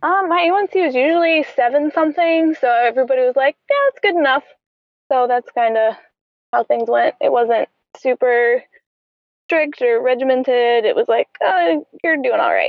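Speech at a moderate pace keeps its loudness very even while the intonation stays lively. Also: woman, high pitch for a woman. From US South, Atlanta. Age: 20s. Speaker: cake decorator with type 1 diabetes. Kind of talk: casual interview.

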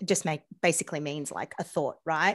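Here a woman talks with an Australian accent. Her intonation stays fairly even. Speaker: podcast host and food coach. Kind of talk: casual interview conversation. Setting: video call across time zones. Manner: humorous, chatty.

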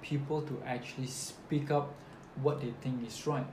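A man speaks at a moderate pace in a flat, monotone delivery. Noticeable background noise and audible room echo are present. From Malaysia. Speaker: business manager. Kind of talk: interview. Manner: hesitant, many fillers.

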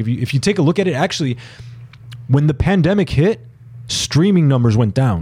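Very fast and somewhat breathy, a man speaks in a dark, mellow tone with lively intonation. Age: 30s. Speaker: music artist manager. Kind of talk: casual chat.

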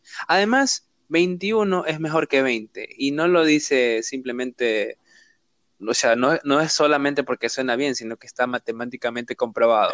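A man talks in a plain, everyday voice, fairly high in pitch, at a fairly slow pace. The sound is dry and close with no echo, with big swings in loudness and ordinary pitch variation. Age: 20s. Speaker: podcast host. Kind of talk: casual chat.

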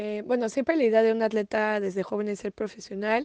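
The voice has a dark, mellow tone and fairly even intonation, moving at a fairly quick pace over a quiet background. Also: woman. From Mexico, raised in the US from age 8. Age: 20s. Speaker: tennis player. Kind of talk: interview.

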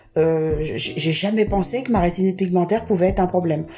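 A woman speaks at medium pitch. Music plays in the background. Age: 60s. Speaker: person with a visual impairment. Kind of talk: casual interview. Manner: halting.

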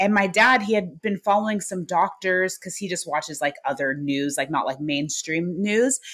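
A woman talks at a moderate pace with hardly any pauses, in an ordinary speaking voice of medium pitch. Her intonation is lively. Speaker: podcast co-host. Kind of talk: casual chat.

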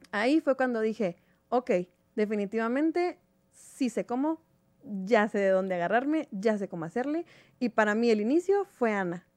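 A woman speaks at a moderate pace with lively intonation, leaving long, frequent pauses. The sound is dry and close, with no echo. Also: fairly high pitch for a woman. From Mexico, Chihuahua. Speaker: writer. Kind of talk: radio interview. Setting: studio.

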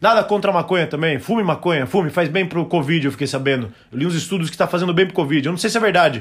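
A man's high-pitched voice at a very fast pace, with ordinary pitch variation and hardly any pauses. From Brazil. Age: 30s. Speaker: podcast host. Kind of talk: casual chat.

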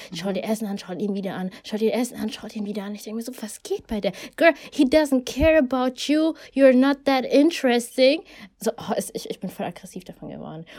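Her pitch high, a woman talks at a fairly quick pace with lively intonation and big swings in loudness. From Germany, Ethiopian family. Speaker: podcast co-host. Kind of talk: casual chat.

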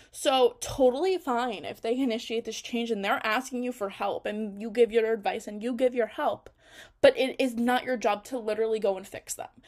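A woman with a fairly high pitch, ordinary pitch variation, moderate pace and big swings in loudness, on a very clean recording with a silent background. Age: 20s. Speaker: podcast host. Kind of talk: casual monologue. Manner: filler-heavy, lots of likes and ums.

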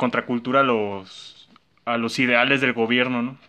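The background is quiet as a man speaks. His tone is bright and sharp, with fairly even intonation. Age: young. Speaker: podcast co-host. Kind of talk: casual chat.

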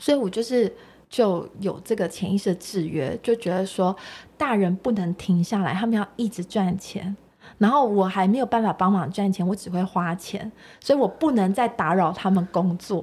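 A woman's somewhat breathy voice moves along at a moderate tempo. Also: medium pitch for a woman, ordinary pitch variation. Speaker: meditation coach and single mother. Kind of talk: casual chat.

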